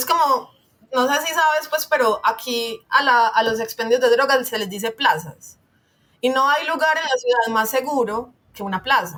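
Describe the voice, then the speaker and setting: With a raised, projected voice, a woman speaks at a moderate pace in a high pitch and lively intonation. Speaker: guest on a podcast about urban issues. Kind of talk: interview conversation.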